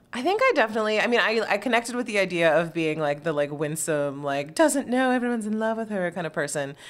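A woman at a very fast pace with a medium pitch, very wide pitch swings and hardly any pauses, over noticeable background noise. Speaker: guest. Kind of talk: casual chat. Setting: living room, movie watching.

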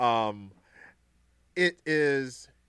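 A man with an American accent speaks at medium pitch, recorded very cleanly against a silent background with a dry, close sound and no echo. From Brooklyn, New York. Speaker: gaming streamer and devotional podcaster. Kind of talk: casual chat.

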